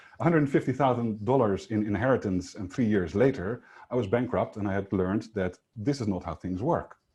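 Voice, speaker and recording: A man's fairly low, somewhat breathy voice with a non-native accent, fairly quick and with hardly any pauses, ordinary pitch variation, quiet background. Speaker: sales coach. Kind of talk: webinar presentation. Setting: online webinar. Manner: fast.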